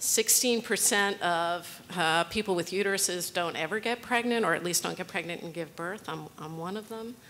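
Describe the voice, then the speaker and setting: A woman speaks at a medium pitch with ordinary pitch variation and a bright, sharp tone. Light background noise can be heard. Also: moderate pace, hardly any pauses. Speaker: women's rights advocate, lawyer; lawyer. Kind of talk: conference panel talk. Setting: stage with audience. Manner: wry, humorous. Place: hall. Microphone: podium.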